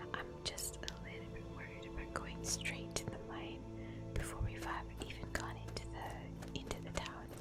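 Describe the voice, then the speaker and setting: Music plays behind a woman whose very deep, low voice stays monotone and flat. She speaks fairly slowly in a relaxed tone. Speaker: ASMR gaming streamer. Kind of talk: casual gameplay commentary. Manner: soft-spoken, relaxed.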